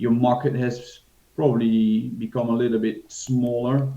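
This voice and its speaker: With a Dutch accent, a man speaks very slowly at a medium pitch in a dark, mellow tone. Audible room echo surrounds his voice. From Netherlands. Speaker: financial advisor. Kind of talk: interview. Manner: hesitant, many fillers.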